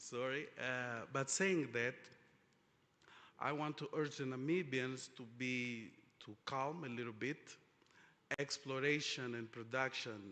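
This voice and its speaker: With a Portuguese accent, a man talks at a fairly slow pace, leaving long, frequent pauses. His medium-pitched voice has a bright, sharp tone and ordinary pitch variation. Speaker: oil industry panelist. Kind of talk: panel discussion. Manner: halting, many fillers.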